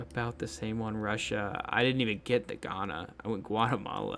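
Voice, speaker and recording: Background noise is noticeable here. A man speaks with an American accent. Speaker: geography game streamer. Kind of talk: casual gameplay commentary. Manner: casual, hesitant with many fillers.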